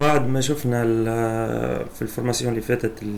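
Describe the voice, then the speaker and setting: A man's medium-pitched voice, fairly slow and flat in a monotone. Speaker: programming instructor. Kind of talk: screen-recorded coding tutorial.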